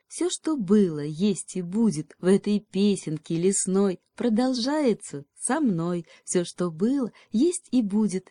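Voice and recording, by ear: Over a quiet background, the speaker is reading aloud in a natural voice with lively intonation.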